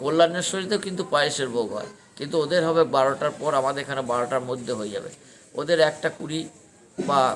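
Over light background noise, a man speaks in a plain, everyday voice at a fairly high pitch with ordinary pitch variation. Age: 60s. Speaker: temple priest. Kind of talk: interview, storytelling. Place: open country. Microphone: phone near.

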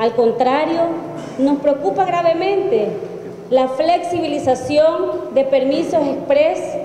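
A woman with a Salvadoran accent uses ordinary pitch variation, with audible room echo and light background noise. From El Salvador. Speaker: opposition party politician. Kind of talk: press statement. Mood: serious, critical. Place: hall. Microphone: podium.

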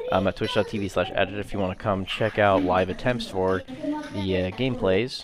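Someone speaks in an animated tone at a fairly quick pace with hardly any pauses, over noticeable background noise. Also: man. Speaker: gaming YouTuber and streamer. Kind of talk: gameplay commentary and video intro. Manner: casual, filler-heavy; animated, exclamatory during gameplay.

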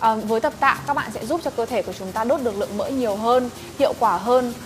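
Clear music plays in the background as a woman speaks at a very fast pace. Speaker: female gym trainer. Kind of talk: tutorial. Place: gym.

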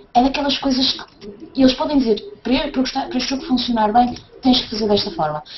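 Over noticeable background noise, a woman with a high pitch talks at a moderate pace with lively intonation. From northern Portugal. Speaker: tabletop RPG player. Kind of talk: casual chat. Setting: video call.

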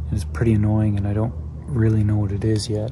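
Over noticeable background noise, a man speaks in a fairly low voice with ordinary pitch variation, the sound dry with no echo. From British Columbia, Canada. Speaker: van life vlogger. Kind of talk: casual talk to camera. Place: waterside. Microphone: phone near.

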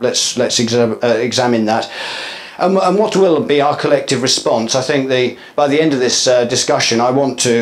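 A man talks at a fairly quick pace with ordinary pitch variation. His loudness stays very even. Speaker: conference speaker. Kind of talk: lecture. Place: hall.

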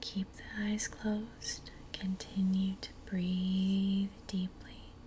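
A woman speaks at a very slow pace. Light background noise can be heard. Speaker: ASMR creator. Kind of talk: guided meditation. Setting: home recording, low-fi. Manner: slow, calm. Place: home room. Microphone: earbuds.

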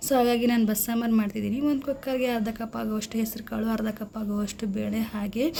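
Over noticeable background noise, a woman with a fairly high pitch speaks in a monotone, flat intonation. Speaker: cooking vlogger. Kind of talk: cooking tutorial vlog narration.

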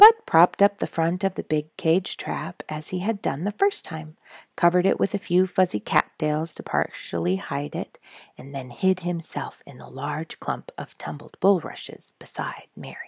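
A woman speaks at a moderate pace, with big swings in loudness. The sound is dry with no echo, and the background is quiet. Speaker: storyteller reading a children's book. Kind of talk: read-aloud storytelling. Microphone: headset.

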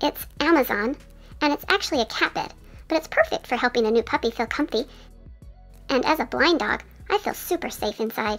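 A female-sounding put-on character voice, high in pitch, talks at a fairly quick pace in a calm tone. Clear music plays in the background. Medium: voice reel. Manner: calm, earnest, slightly prim.

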